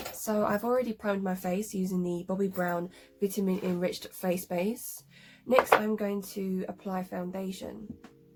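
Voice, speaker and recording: A woman's monotone, flat intonation comes through noticeable background noise. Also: medium pitch for a woman, moderate pace. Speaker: cosplay makeup youtuber. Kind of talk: tutorial. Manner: hesitant, many ums and likes.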